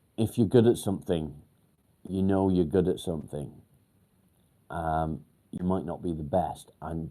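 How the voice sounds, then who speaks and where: With a northwest English accent, a man speaks in a very deep, low pitch, his dark, mellow tone held to fairly even intonation. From northern England, near Warrington. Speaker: mental health livestreamer. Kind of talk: casual livestream chat. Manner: hesitant, many ums.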